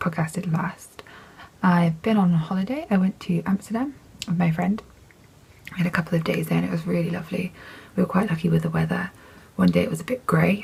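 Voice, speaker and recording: With an English accent, a woman talks at a fairly quick pace but leaves long, frequent pauses. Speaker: knitting podcaster. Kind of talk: casual chat. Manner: chatty, with fillers.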